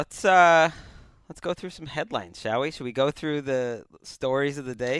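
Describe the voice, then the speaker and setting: Recorded very cleanly against a silent background, a man with an unremarkable speaking voice talks at a moderate pace and fairly high pitch, with ordinary pitch variation. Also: big swings in loudness. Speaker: podcast host, NFL reporter. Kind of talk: casual banter podcast.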